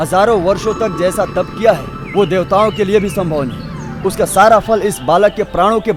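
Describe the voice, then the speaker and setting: A man's voice over music in the background. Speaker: voice-over artist. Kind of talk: devotional mythology story narration.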